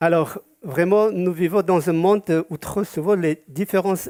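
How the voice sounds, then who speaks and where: A man's dark, mellow voice at a fairly slow pace, dry and close with no echo, on a very clean recording with a silent background. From Georgia (Soviet Union), Yazidi community. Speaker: community association president. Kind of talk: prepared speech at a community event, partly read aloud. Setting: event with live audience. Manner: halting, with frequent hesitations.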